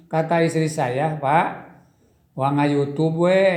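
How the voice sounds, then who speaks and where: Noticeable background noise and audible room echo surround a man whose fairly high voice keeps a fairly even intonation. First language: Sundanese (speaking Indonesian). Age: old. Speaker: former village head turned YouTuber. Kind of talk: interview. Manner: halting.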